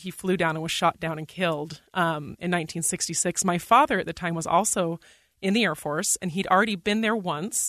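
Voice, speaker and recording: A woman talks in a normal speaking voice at fairly low pitch, fairly quickly and with ordinary pitch variation. The sound is dry and close with no echo, against a quiet background. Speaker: radio producer. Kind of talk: casual chat.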